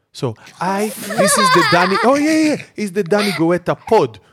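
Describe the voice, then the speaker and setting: The recording is very clean with a silent background. A man speaks with very wide pitch swings. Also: dry, close sound with no echo. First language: not English. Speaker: podcast host. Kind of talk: comedic casual chat.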